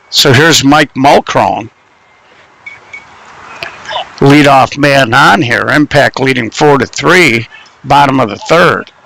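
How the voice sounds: A man speaks slowly at a medium pitch in a bright, sharp tone with vocal fry. His pitch varies in an ordinary way, broken by long, frequent pauses.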